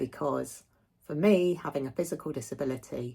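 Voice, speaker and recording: In a very clean recording with a silent background, a woman talks at a moderate pace with ordinary pitch variation. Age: 60s. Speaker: vlogger. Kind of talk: personal video update.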